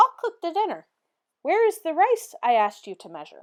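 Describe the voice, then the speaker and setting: A woman puts on a character voice at an extremely high pitch, talking fairly quickly with big swings in loudness, in a very clean recording with a silent background. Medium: read story. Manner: excitable, exclaiming.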